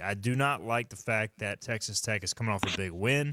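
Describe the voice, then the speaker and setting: A man with a Southern US accent talks at a fairly quick pace in a bright, sharp tone, medium in pitch with ordinary variation, on a very clean recording with a silent background. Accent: southern twang. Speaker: sports radio host. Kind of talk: casual sports talk.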